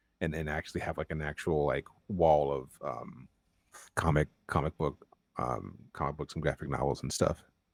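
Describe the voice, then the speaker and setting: With an American accent, a man talks at a moderate pace in a very deep, low voice with vocal fry and fairly even intonation, the sound dry and close with no echo. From North Carolina, US South. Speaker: comic book writer. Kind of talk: interview. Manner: casual, many fillers.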